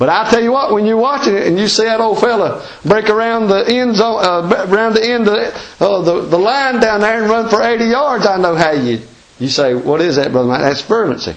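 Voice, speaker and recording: Talking fairly quickly, a man has a high pitch and an Appalachian accent. Background noise is noticeable. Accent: Southern Appalachian US. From US Appalachian mountains. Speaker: preacher. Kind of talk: sermon. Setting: church. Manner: informal, folksy, plainspoken.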